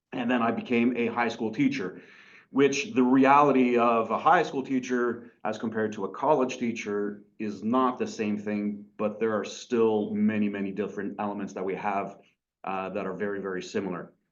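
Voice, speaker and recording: Audible room echo follows a man as he talks at a moderate pace. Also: medium pitch for a man, ordinary pitch variation. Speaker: college teacher. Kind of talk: lecture.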